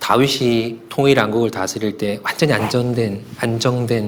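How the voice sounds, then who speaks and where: Fairly even intonation from a man at medium pitch, with audible room echo in the space. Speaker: pastor. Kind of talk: sermon. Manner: fast.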